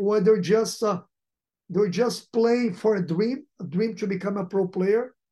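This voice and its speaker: A man with a Portuguese accent speaks fairly slowly in a high-pitched voice with a dark, mellow tone and fairly even intonation. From Brazil. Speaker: football sporting director. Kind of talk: interview.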